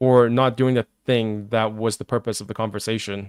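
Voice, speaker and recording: A man with a non-native accent in a dry, close sound with no echo. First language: not English. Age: 30s. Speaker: streamer. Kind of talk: live reaction stream. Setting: live stream. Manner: halting.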